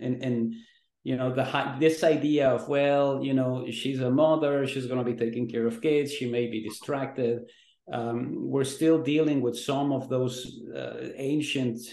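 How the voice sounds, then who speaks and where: A man's medium-pitched voice at a fairly slow pace, monotone and flat in intonation, with audible room echo. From Mexico. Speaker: pollster and newspaper columnist. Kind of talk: interview.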